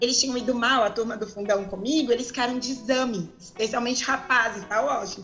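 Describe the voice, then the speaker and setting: Music plays in the background while a woman speaks at a fairly quick pace. Her pitch is high, and room echo can be heard. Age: 40s. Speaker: lawyer and lay preacher. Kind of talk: interview on a religion podcast. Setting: remote call from home.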